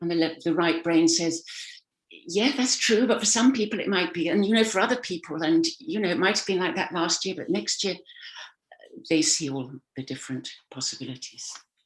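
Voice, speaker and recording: With an English accent, a woman talks at a fairly quick pace in a fairly low pitch, her voice making very wide pitch swings. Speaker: communication coach and speaker. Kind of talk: motivational talk. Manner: animated, acts out voices.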